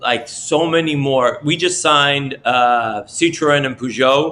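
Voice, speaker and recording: Fairly slow and fairly even in intonation, a man speaks at a medium pitch. His tone is bright and sharp. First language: French. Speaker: NFT project team member. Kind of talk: casual chat.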